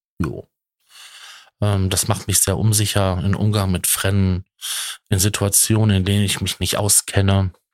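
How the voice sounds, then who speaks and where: A man's fairly low voice in a flat monotone, with long, frequent pauses, on a very clean recording with a silent background. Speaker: podcaster. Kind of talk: personal monologue. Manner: halting. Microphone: good microphone.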